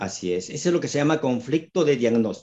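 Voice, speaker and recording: A man with a fairly high pitch speaks at a moderate pace in a dark, mellow tone with vocal fry and lively intonation. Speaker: retired psychiatrist and holistic therapist. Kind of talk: interview explaining health topics.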